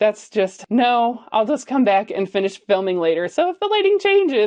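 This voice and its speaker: A woman's unremarkable speaking voice, fairly high in pitch, with lively intonation at a moderate pace. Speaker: lifestyle YouTuber. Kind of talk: casual vlog talk.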